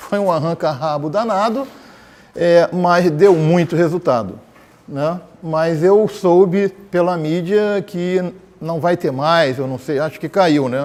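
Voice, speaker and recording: A man's high-pitched voice at a very slow pace, with ordinary pitch variation and noticeable background noise. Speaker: former education official. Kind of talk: panel debate. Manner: halting.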